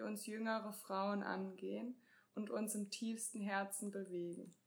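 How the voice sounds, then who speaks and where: At a very slow pace, a woman talks with a fairly high pitch and fairly even intonation. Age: 20s. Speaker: co-host, couples and sex therapist. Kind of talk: self-introduction.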